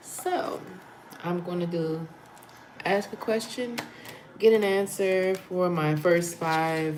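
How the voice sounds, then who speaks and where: Very slow speech with long, frequent pauses, fairly even intonation, and noticeable background noise. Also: woman, fairly low pitch for a woman. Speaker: spiritual channeler and tarot reader. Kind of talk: livestream chat with viewers.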